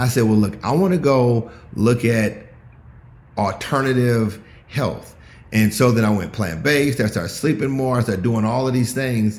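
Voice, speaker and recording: A man with an unremarkable speaking voice and a medium pitch talks at a moderate pace with very even loudness and ordinary pitch variation. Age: 50s. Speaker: entrepreneur and mentor. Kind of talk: casual chat. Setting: video call.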